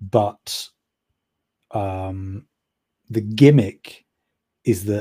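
In a very clean recording with a silent background, a man speaks with a somewhat breathy, dark, mellow tone, fairly low pitch and fairly even intonation. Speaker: podcast host. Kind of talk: casual chat.

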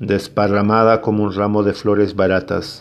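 With a normal speaking voice, this man talks fairly slowly at a fairly low pitch. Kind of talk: poetry reading.

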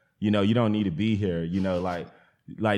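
A man's unremarkable speaking voice, fairly low in pitch, with fairly even intonation. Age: 30s. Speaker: plant nursery farmer. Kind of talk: casual interview conversation.

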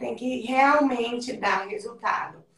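The woman's pitch is fairly high. She talks very slowly. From Brazil, interior of Goiás (Mineiros). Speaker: businesswoman and fitness program creator. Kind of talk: interview. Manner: talkative, animated.

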